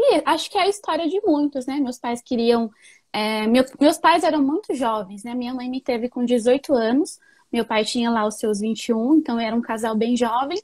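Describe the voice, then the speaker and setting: At a moderate pace, a woman speaks in a high pitch with lively intonation, in a dry, close sound with no echo. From Japan, Nagoya (Brazilian family). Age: 20s. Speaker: educator. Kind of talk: interview. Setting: live stream.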